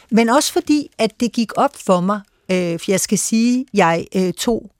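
Speech comes at a very slow pace with very wide pitch swings. The sound is dry and close, with no echo. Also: woman. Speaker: foreign news editor and panelist. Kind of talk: radio panel discussion. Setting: studio. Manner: hesitant, many filler sounds.

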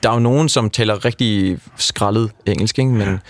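The man's pitch varies in an ordinary way. He keeps a moderate pace. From Denmark. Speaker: backpacker who hitchhiked around Europe. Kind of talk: radio interview. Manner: hesitant, many fillers.

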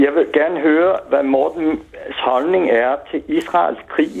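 A man talks at a very slow pace. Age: old. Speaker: retired caller. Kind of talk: phone-in call. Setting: phone call.

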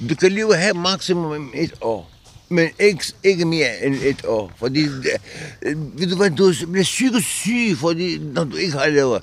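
Noticeable background noise sits behind a man's high-pitched voice. He speaks at a fairly slow pace with lively intonation. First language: not Danish (speaking Danish). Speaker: resident of a departure centre. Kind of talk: interview. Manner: halting.

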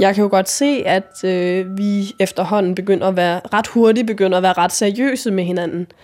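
Music in the background behind a woman's medium pitch, fairly even intonation and hardly any pauses. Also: moderate pace. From Jutland, Denmark (Vojens). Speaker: interviewee telling personal story. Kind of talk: personal narrative testimony. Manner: halting, many fillers.

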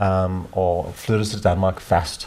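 A man's very deep, low pitch, somewhat breathy, with a dark, mellow tone. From South Africa. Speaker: men's organisation co-founder. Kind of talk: interview. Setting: at home. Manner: halting.

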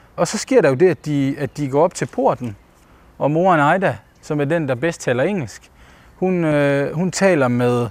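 Fairly slow speech with ordinary pitch variation. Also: man. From Denmark, Ikast area (Bosnian-born). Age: 30s. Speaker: debut novelist. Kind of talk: interview while walking. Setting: outdoors walking. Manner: halting, many fillers.

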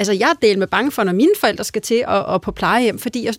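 Speaking at a fairly quick pace, a woman uses lively intonation and a fairly high pitch, in a dry, close sound with no echo. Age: 40s. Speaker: politician, family spokesperson. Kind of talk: radio debate. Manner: hesitant with many fillers.

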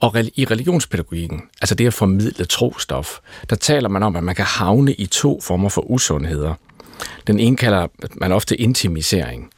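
Speaking at a moderate pace, a man uses lively intonation at a fairly low pitch. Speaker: pastor. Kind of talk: panel discussion. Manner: halting.

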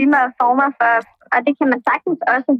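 With a high pitch and fairly even intonation, a woman speaks at a fairly quick pace. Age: 20s. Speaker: caller sharing a secret. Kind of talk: casual chat. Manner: halting.

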